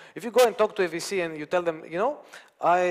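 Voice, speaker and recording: A man speaks in a high pitch with a non-native accent. His pace is fairly quick. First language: not English. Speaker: conference speaker, open source company founder. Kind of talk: conference talk. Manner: halting, many fillers.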